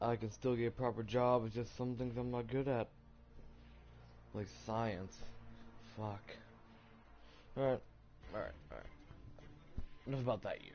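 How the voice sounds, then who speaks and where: A man with an American accent speaks at a moderate pace in a medium pitch, his intonation fairly even, with long, frequent pauses and music in the background. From US South, Tennessee. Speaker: streamer. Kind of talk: personal storytelling. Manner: halting.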